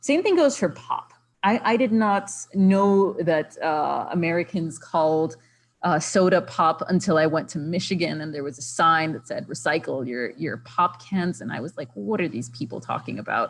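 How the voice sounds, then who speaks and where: With a Spanish accent, a woman speaks at a moderate pace in a very deep, low voice, her intonation lively and touched with vocal fry. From Puerto Rico. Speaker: conservation biologist. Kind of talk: lecture. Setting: video call. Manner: halting, many fillers.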